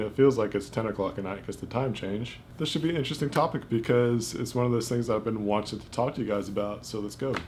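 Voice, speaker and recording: With fairly even intonation, a man talks at a very fast pace. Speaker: vlogger. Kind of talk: casual vlog talk to camera. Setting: quiet home corner, self-filmed. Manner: unscripted, rambling delivery.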